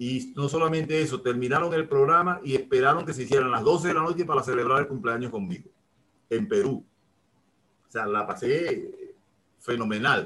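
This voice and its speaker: This man has a fairly high, bright and sharp voice with ordinary pitch variation. He speaks at a moderate pace. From eastern Venezuela, Maturín. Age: 60s. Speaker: retired music teacher, saxophonist and radio announcer. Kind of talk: interview. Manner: halting, repeats words.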